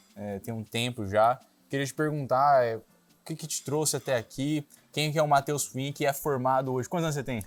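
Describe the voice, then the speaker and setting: Moderate pace and fairly even intonation over music in the background. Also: man. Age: 20s. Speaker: interviewer. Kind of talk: interview.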